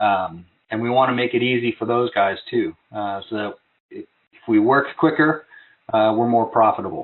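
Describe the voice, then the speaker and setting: Moderately paced speech from a man, medium in pitch, with ordinary pitch variation. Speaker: district sales manager. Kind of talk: online training webinar. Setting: webinar at desktop. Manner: casual with many fillers.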